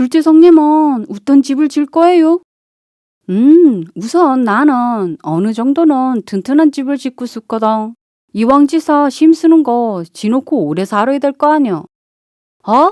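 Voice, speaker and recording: In a Chungcheong accent, a woman with a high pitch and a dark, mellow tone speaks at a very slow pace in a relaxed tone with lively intonation, the sound dry and close with no echo against a quiet background. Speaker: amateur voice actor, local native. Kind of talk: children's fairy tale reading. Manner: relaxed, unhurried.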